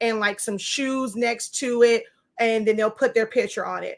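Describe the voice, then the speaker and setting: Very clean recording, silent background, and a woman with an American accent, fairly high in pitch, at a moderate pace. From New York. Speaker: sublimation printing teacher and livestreamer. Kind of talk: live stream Q&A. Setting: live video. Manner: loud.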